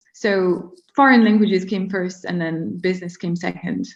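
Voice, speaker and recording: Somewhat breathy, a woman with a French accent speaks with fairly even intonation. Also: quiet background. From France. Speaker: marketing strategist. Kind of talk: interview. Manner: hesitant, many fillers.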